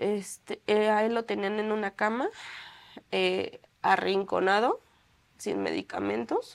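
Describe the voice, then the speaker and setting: A woman talks at a fairly slow pace on a very clean recording with a silent background. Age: young. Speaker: bereaved mother. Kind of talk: testimony. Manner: halting.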